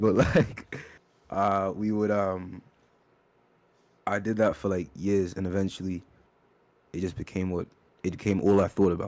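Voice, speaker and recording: In a British accent, a man with a fairly low pitch talks at a moderate pace in monotone, flat intonation, with long, frequent pauses, on a very clean recording with a silent background. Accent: UK. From born in UK, raised in Kenya from age ten. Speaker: rapper. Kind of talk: interview. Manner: halting, many fillers.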